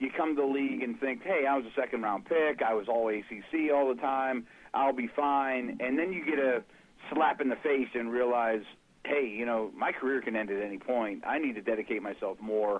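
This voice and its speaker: A man speaks at a moderate pace with a medium pitch, ordinary pitch variation, and a plain, everyday voice. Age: 40s. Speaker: NFL analyst podcast co-host. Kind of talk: casual chat.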